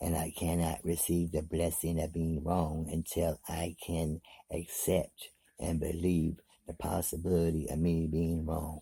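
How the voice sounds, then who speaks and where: Over a very clean recording with a silent background, a man with a very deep, low pitch and a dark, mellow tone speaks at a fairly slow pace, somewhat breathy and in a monotone, flat intonation. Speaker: vlogger. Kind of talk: motivational monologue.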